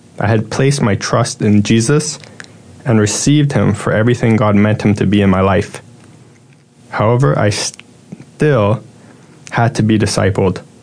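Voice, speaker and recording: Over noticeable background noise, a man speaks at a moderate pace with long, frequent pauses. His pitch is fairly low with ordinary variation, and his loudness stays very even. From Toronto, Canada. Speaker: church member giving testimony. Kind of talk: testimony.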